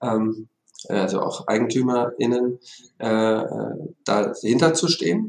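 Pausing long and often, a man speaks at a very slow pace with a medium pitch and ordinary pitch variation. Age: 40s. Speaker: company executive. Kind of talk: interview.

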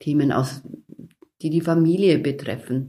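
This woman has a very deep, low pitch and a dark, mellow, calm tone. Her pace is moderate. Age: 50s. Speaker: hospital chaplain. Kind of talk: interview.

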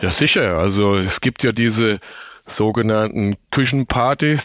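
At a moderate pace, a man speaks in a normal speaking voice with medium pitch. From Germany, Aschaffenburg (Lower Franconia). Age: 50s. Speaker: logistics manager and kitchen installation expert. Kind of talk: interview. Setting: remote connection, not in studio. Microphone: sounds different from studio.

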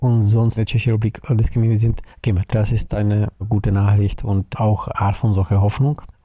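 A man's somewhat breathy voice, dark and mellow in tone. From Czech Republic. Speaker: anti-racism activist. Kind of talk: interview. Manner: hesitant, with fillers.

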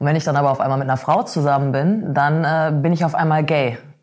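This woman speaks fairly quickly in a very deep, low pitch, with ordinary pitch variation. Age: 30s. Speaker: blogger and freelance author. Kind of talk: casual interview.

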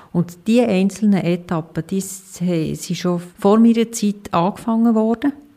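A woman speaking at a fairly slow pace with hardly any pauses, ordinary pitch variation, and noticeable background noise. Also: medium pitch for a woman. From Emmental, canton of Bern, Switzerland. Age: 40s. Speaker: hospital CEO. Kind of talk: interview.

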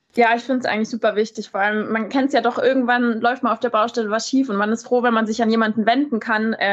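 Fairly even intonation marks a woman's fairly high-pitched delivery in an ordinary speaking voice. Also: quiet background. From Bavaria, Munich. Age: 20s. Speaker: tinsmith and trade influencer. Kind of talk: casual interview.

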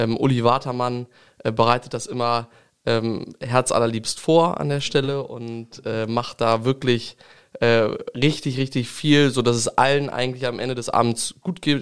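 Using an ordinary speaking voice, a man speaks at a fairly slow pace in a medium pitch with fairly even intonation. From Lower Saxony, Langenhagen near Hanover. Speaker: state parliament member, politician. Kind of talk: interview.

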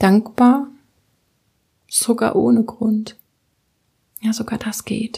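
A woman with a fairly high pitch talks in a calm tone at a very slow pace, her somewhat breathy voice dark and mellow, with long, frequent pauses and fairly even intonation. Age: 20s. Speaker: podcast host, tapping meditation guide. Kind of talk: guided meditation.

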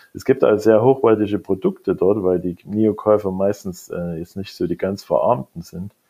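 This man speaks at a moderate pace with hardly any pauses, ordinary pitch variation and big swings in loudness. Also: fairly low pitch for a man. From East Germany. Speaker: technology executive. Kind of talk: interview. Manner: halting, many fillers.

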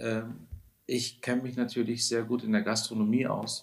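A man speaks. His pace is fairly slow. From Baden, southern Germany (Lake Constance), then Hamburg from 19. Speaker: restaurant owner. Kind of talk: podcast interview. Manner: animated.

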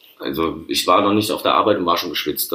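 A man talks at a very fast pace. There is noticeable background noise. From Rhineland-Palatinate, Neuwied. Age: 30s. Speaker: chef. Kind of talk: casual interview. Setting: at his workplace.

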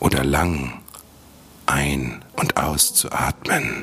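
A man speaks at a very slow pace in a very deep, low voice, calm and soothing in tone. Noticeable background noise runs behind him. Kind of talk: guided meditation. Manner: slow, soft, soothing, gentle; calm, unhurried, with long pauses.

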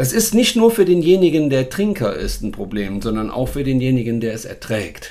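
A plain, everyday voice: a man at medium pitch with lively intonation and a moderate pace. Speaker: dog trainer and podcast host. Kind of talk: casual chat. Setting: recorded on location in Portugal.

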